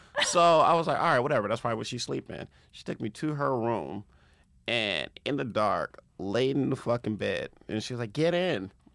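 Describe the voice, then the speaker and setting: A man with an American accent, medium pitch, vocal fry, lively intonation and a moderate pace. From Compton, Los Angeles. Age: 30s. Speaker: comedian. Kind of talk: casual chat. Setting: studio.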